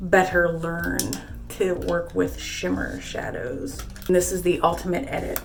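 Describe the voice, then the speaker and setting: With music in the background, a woman is speaking. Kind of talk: casual talk to camera.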